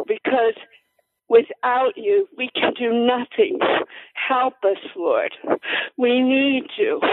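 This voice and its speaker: A woman speaks at a very slow pace in a high voice, her pitch swinging very widely across long, frequent pauses. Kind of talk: fervent prayer. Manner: impassioned, pleading.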